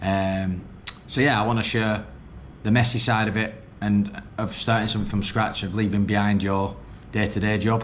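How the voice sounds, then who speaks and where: A man's fairly low, monotone voice with flat intonation, in a northern English accent, amid audible room echo. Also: moderate pace. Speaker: vlogger and business coach. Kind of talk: vlog monologue. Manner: hesitant, many ums and restarts.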